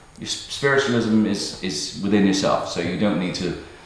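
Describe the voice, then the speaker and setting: Speaking at a moderate pace, a man with an English accent and a fairly low pitch is heard over noticeable background noise and audible room echo. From England. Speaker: metal band singer. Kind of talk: casual interview. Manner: halting, repetitive.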